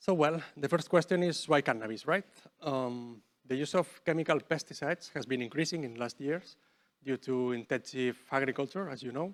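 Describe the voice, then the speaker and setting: A man with a Spanish accent talks at a moderate pace and a fairly high pitch. His ordinary pitch variation comes through dry, close sound with no echo. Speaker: researcher. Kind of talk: lecture. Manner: halting.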